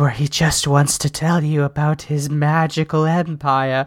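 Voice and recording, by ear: In a put-on character voice, the speaker uses a monotone, flat intonation at a low-to-middle pitch and a moderate pace.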